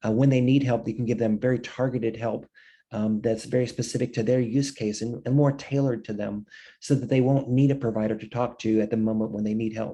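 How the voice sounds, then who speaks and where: A dark, mellow voice races along at a very fast pace in a monotone, flat delivery. The background is quiet. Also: man, medium pitch for a man. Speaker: webinar presenter on telebehavioral health. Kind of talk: webinar presentation. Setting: online webinar. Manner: halting, many fillers and repetitions.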